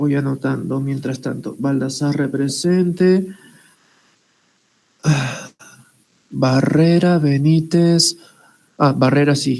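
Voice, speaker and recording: A woman's very deep, low voice with a dark, mellow tone, very slow pace, fairly even intonation, and long, frequent pauses. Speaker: teacher. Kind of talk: lecture. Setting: video call.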